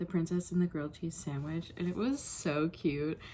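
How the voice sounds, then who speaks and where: A woman with a normal speaking voice talks at a moderate pace and a fairly low pitch. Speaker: booktuber, bookstore worker. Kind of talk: casual vlog. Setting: in a car.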